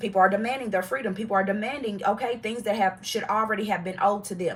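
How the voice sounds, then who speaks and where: Her tone is animated, with ordinary pitch variation. The woman speaks at a fairly high pitch. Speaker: tarot reader. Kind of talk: live tarot reading. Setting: livestream. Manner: fast.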